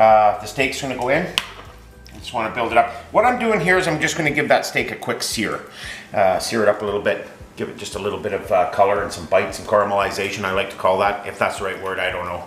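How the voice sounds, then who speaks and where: A man's fairly low voice at a very fast pace, with big swings in loudness, audible room echo and faint music in the background. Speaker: home cooking show host. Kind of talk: cooking tutorial chat. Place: kitchen. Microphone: camera far.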